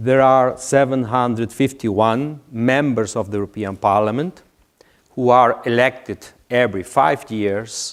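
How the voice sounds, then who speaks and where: Speaking with a strong non-native accent, a man keeps a medium pitch and fairly even intonation. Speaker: IT manager at a public institution. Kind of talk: conference presentation. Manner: halting, many fillers.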